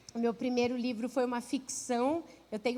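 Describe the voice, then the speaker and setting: A woman talks in a Rio de Janeiro accent. Her voice is high-pitched with a warm tone. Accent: carioca. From Rio de Janeiro, Brazil. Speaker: pastor and author. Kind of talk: sermon. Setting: church. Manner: warm, conversational.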